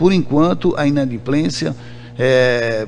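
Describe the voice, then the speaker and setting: Music plays in the background and the room echo is audible. A man with a medium pitch speaks at a fairly slow pace. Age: 60s. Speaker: trade union president. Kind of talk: radio interview. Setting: radio studio. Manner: halting, many repetitions.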